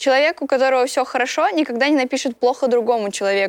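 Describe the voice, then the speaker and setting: A woman speaks at a fairly quick pace with high pitch and ordinary pitch variation. The sound is dry and close, with no echo. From Russia, Voronezh. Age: 20s. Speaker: singer and TikTok blogger. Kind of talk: casual interview chat.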